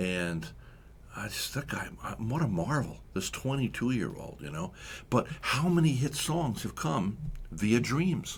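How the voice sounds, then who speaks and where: With very wide pitch swings and vocal fry, a man speaks at a medium pitch and a fairly slow pace. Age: 60s. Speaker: radio host. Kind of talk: radio interview.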